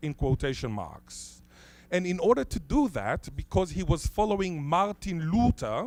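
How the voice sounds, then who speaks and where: On a very clean recording with a silent background, a man speaks with a high pitch, lively intonation and a fairly slow pace. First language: Hebrew (Israeli). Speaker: linguist. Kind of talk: conference talk.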